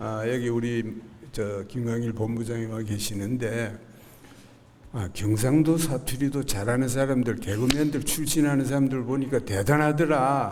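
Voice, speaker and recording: In a recording with audible room echo and noticeable background noise, a man speaks at a fairly slow pace with ordinary pitch variation. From South Korea, Gyeongnam (Haman county). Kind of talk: church testimony. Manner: halting, many fillers.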